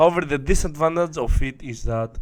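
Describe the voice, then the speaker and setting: A man talks with a non-native accent. The recording is very clean, its background silent. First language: not English. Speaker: online marketing coach. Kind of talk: tutorial.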